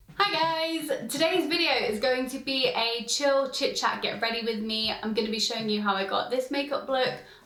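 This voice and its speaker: A woman's high, lively voice at a moderate pace with hardly any pauses, with audible room echo and noticeable background noise. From London, England. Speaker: beauty vlogger. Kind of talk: casual chat.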